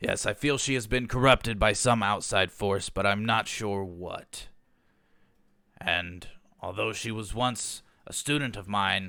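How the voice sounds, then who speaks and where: A man's raspy put-on character voice at a fairly slow pace, on a very clean recording with a silent background. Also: fairly low pitch for a man, ordinary pitch variation. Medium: actual play. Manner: earnest, formal.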